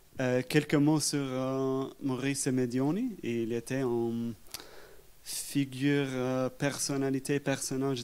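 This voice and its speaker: Very slowly, a man with an English accent talks at a medium pitch with fairly even intonation. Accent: English-speaking accent in French. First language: English (speaking French). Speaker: historian. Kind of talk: public talk interview. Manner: halting.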